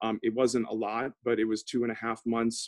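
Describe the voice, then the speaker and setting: Spoken at a moderate pace in a flat monotone, over a quiet background. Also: man. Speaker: opera professional. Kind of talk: panel talk. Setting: video call. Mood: concerned, earnest. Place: home room. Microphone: video call.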